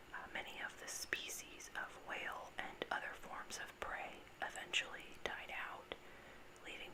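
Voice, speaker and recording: Someone whispers over noticeable background noise. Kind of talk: whispered informational ramble about sharks, ASMR. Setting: recorded on a desktop USB microphone with some background noise. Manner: whispered, soft-spoken.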